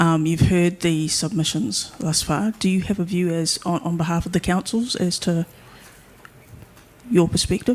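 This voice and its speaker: In a New Zealand accent, a woman speaks at a moderate pace with a fairly low pitch and ordinary pitch variation. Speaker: hearing panel member. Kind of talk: legal hearing questioning. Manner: soft-spoken; halting.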